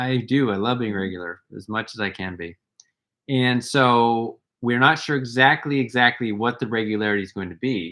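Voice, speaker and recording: A man's plain, everyday voice with an American accent, medium in pitch, with ordinary pitch variation, big swings in loudness and a moderate pace. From USA. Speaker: wellness workshop co-host. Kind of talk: casual live stream chat.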